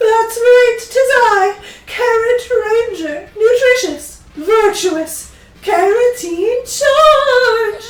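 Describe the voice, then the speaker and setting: A woman's put-on character voice at an extremely high pitch, very slow pace and ordinary pitch variation, with slight echo. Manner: pompous, heroic.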